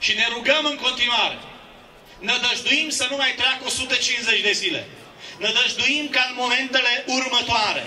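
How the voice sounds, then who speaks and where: Against light background noise, a man with an extremely high voice speaks in a raised, projected monotone at a fairly slow pace. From Romania. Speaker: pastor. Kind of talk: rally speech with prayer. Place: street.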